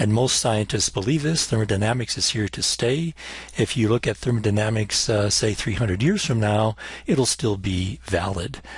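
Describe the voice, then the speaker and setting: This man has a fairly low pitch and a somewhat breathy voice. He talks at a moderate pace with ordinary pitch variation. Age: 60s. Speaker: chemistry professor. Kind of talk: recorded lecture. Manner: hesitant, many fillers.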